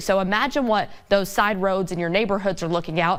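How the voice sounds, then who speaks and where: At a fairly quick pace, a woman speaks in a medium pitch over noticeable background noise. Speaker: TV news anchor and reporter. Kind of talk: local TV news delivery. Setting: outdoors field report.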